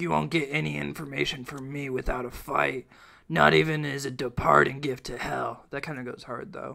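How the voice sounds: What we hear is someone reading in a natural voice.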